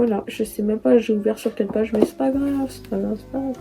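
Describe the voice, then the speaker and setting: Here a woman speaks at a fairly quick pace. Noticeable background noise is present. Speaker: book youtuber. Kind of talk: casual talk to camera. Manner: chatty, rambling.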